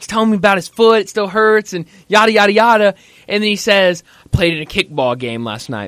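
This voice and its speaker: With big swings in loudness, a man speaks at a high pitch with lively intonation, the sound dry and close with no echo. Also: fairly quick pace. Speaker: sports radio host. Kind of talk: sports radio talk show.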